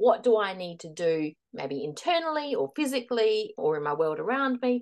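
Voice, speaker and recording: A woman in an Australian accent, fairly high-pitched, with very wide pitch swings and big swings in loudness. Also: moderate pace. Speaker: transition and leadership coach. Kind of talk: interview, giving advice.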